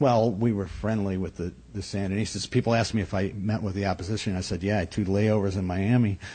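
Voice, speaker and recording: At a very fast pace with hardly any pauses, a man with an American accent talks in a somewhat breathy, dark, mellow tone at a fairly low pitch, his intonation fairly even. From upstate New York. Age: 50s. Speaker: comedian. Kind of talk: casual chat. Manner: halting.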